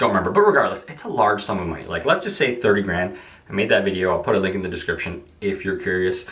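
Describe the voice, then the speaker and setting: A man speaks very fast while noticeable background noise and audible room echo surround his voice. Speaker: real estate agent. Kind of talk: rant-style vlog monologue. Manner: casual, filler-heavy.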